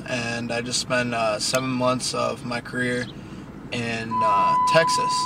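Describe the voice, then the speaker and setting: A man at a fairly slow pace, dry with no echo, over loud background noise. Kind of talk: casual vlog chat. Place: car. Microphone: phone near.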